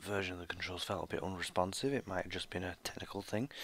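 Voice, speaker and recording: A quiet, fairly low male voice in a British accent, with ordinary pitch variation. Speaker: gaming YouTuber. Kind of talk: live reaction commentary. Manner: quiet, keeping voice down; hesitant with fillers.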